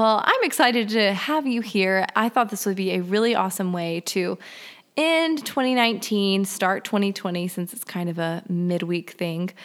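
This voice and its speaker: A woman's unremarkable speaking voice, medium in pitch, with lively intonation and a fairly slow pace. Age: 20s. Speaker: podcast host. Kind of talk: casual chat.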